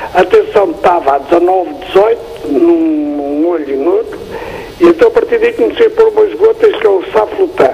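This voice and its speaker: Over noticeable background noise, a man keeps a moderate speed as he talks. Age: 70s. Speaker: TV viewer caller. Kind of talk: phone-in question. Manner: halting.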